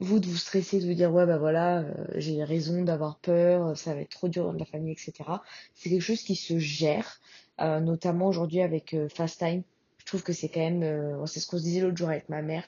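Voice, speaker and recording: A woman with a fairly low, somewhat breathy voice speaks at a moderate pace in a monotone, flat intonation. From France. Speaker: podcaster. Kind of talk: casual monologue. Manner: hesitant, many fillers.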